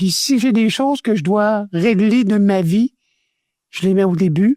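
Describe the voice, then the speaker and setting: This man talks at a fairly slow pace in a high pitch, with ordinary pitch variation and a dark, mellow tone that sounds dry and close with no echo. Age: 70s. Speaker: former radio host. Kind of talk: interview testimony.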